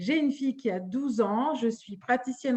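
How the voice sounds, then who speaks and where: Her voice is high for a woman. The pitch shifts in an ordinary way. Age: 40s. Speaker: holistic medicine practitioner, live show host. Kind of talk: live stream chat. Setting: Facebook live stream.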